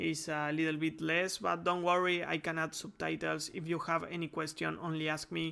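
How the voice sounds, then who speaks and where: A man with a Spanish accent speaks at a fairly high pitch on a very clean recording with a silent background. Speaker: game development tutorial creator. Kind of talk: tutorial. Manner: halting, many fillers.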